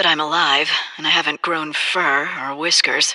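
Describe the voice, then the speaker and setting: The speaker uses a put-on character voice with a middle pitch at a moderate pace. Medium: video game. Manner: wry, self-justifying.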